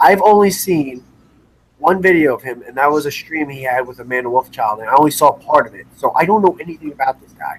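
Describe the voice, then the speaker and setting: This man speaks at a very fast pace with a fairly high pitch. His intonation is lively and his loudness swings widely. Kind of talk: casual chat. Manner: animated.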